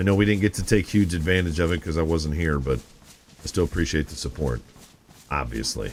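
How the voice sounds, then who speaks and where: A man with an American accent speaks at a fairly quick pace in a very deep, low pitch, with ordinary pitch variation and noticeable background noise. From Michigan. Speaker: gaming streamer. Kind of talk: casual chat. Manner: animated.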